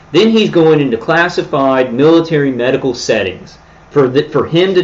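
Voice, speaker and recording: A man's lively intonation carries his words along at a moderate speed. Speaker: livestreamer describing himself as targeted individual. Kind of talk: livestream monologue. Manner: loud; animated.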